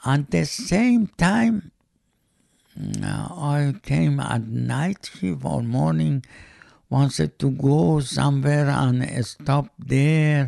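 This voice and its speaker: A man speaks with an Iranian accent. His pace is very slow. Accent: Iranian (Persian) accent in English. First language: Persian. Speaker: host's father. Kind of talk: casual family interview. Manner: halting, broken English.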